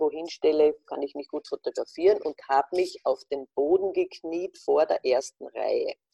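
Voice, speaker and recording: A woman at a fairly slow pace, dry and close with no echo. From Austria, Carinthia (Wolfsberg). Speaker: fashion journalist. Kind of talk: interview. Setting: video call.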